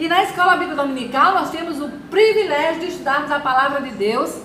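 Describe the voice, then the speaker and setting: Moderately paced speech from a woman, amid noticeable background noise and audible room echo. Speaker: Sunday school teacher. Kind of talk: Bible study lesson. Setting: live stream.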